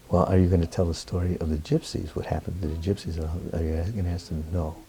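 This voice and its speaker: Somewhat breathy and dark, mellow in tone, a man speaks at a very deep, low pitch. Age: 70s. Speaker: Roma professor. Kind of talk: interview. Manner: animated.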